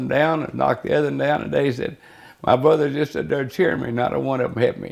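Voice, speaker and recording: A man with a Texan accent at a very fast pace. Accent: Texas Southern. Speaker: interviewee. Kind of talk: oral history interview. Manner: halting.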